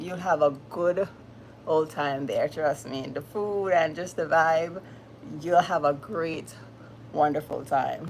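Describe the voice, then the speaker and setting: With a Jamaican accent, a woman talks at a very slow pace with long, frequent pauses. Her pitch is fairly low, with ordinary pitch variation. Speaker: live streamer. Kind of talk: live stream chat with viewers. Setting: livestream. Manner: animated.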